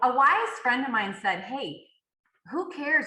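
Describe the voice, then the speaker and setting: The tone is bright and sharp, with very wide swings in pitch. The pace is moderate, and room echo can be heard. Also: woman. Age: 60s. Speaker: author and fitness coach. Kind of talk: podcast interview. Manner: halting.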